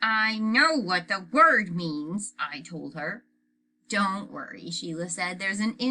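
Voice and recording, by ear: A passage is read aloud in a natural voice. Behind it, all is quiet.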